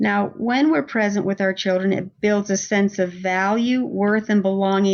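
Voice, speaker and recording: In a plain, everyday voice, a woman talks at a medium pitch whose variation is ordinary. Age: 60s. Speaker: parenting coach and author. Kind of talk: podcast interview.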